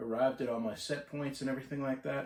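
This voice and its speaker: A man's voice at a medium pitch. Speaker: marine electrical technician. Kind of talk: casual talk to camera. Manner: sometimes hesitant, mumbly.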